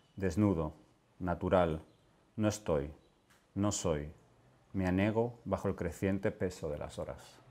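Long, frequent pauses mark the speech of a man with a very deep, low pitch, a solemn tone that is dark and mellow, and fairly even intonation. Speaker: poet reading his work. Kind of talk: poetry reading. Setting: literary event with audience. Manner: slow, halting, solemn. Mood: calm, solemn, unhurried. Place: home room. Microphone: lapel.

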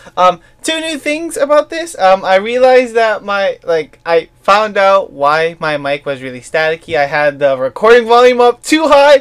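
The pace is moderate. There are hardly any pauses. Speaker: gaming YouTuber. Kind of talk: let's play commentary. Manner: bouncy up-and-down intonation; halting.

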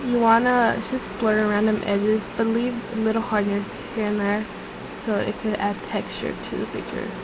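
Against noticeable background noise, a woman with a fairly high pitch talks at a moderate pace in a monotone, flat intonation. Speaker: digital art tutorial maker. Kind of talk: casual tutorial narration. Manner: casual, informal.

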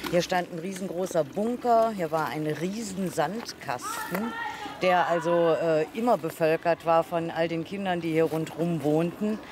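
Recorded dry with no echo but with noticeable background noise, a woman talks at a fairly slow pace in a fairly low pitch with ordinary pitch variation. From Troisdorf, Rhineland, Germany. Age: 60s. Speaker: local resident. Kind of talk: interview answer. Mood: warm, nostalgic. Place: street.

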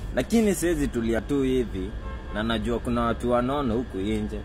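A man at a moderate pace amid noticeable background noise. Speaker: vlogger. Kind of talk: angry rant, mocking roast of overweight people. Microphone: phone near.

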